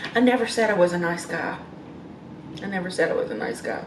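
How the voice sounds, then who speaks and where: Amid light background noise and audible room echo, a woman talks at a fairly quick pace with ordinary pitch variation. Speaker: vlogger. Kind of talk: casual vlog chat. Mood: frustrated, defensive. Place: home room. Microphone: phone near.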